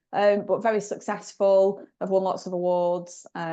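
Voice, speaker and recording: In a Lancashire accent, a woman with a dark, mellow tone speaks at a moderate pace with fairly even intonation. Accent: Bolton. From northern England, Bolton. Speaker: recruitment company managing director. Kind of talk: podcast interview.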